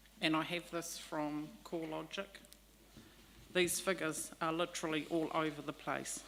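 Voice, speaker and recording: In a New Zealand accent, a soft-spoken woman with a very deep, low pitch talks at a moderate pace in a monotone, flat intonation. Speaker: leaseholder making a public submission. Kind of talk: public hearing submission. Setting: public hearing with microphone. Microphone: microphone too far, quiet.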